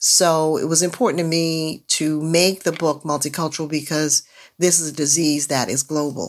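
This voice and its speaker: Very clean recording with a silent background, a woman with a very deep, low pitch, moderate pace and monotone, flat intonation. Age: 70s. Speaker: author and activist. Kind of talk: interview conversation. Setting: studio.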